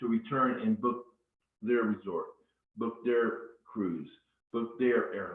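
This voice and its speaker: A man's medium-pitched voice, fairly even in intonation, at a fairly slow pace. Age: 50s. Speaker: network marketing presenter. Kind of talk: live webinar sales presentation. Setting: live webinar. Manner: deliberately slowed down.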